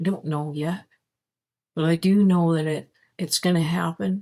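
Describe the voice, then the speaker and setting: Fairly low in pitch, a woman speaks at a fairly slow pace. The recording is very clean, with a silent background. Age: 60s. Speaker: spirituality vlogger. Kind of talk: casual monologue. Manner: halting.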